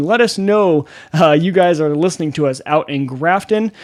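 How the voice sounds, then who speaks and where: In a very clean recording with a silent background, a man speaks with lively intonation. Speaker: podcast host. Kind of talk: casual podcast chat. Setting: home studio. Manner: loud.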